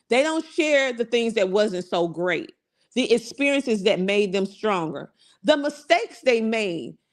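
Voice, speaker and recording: An American-accented woman talks at a fairly slow pace in an animated tone, her pitch swinging very widely. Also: fairly high pitch for a woman. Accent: country twang. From US South, South Carolina. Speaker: motivational podcast host and business coach. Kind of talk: motivational talk. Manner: animated, conversational.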